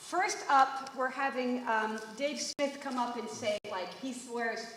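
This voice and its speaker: In an American accent, a woman speaks with a high pitch and lively intonation, amid audible room echo and noticeable background noise. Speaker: poetry event host. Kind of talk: event hosting. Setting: stage with audience.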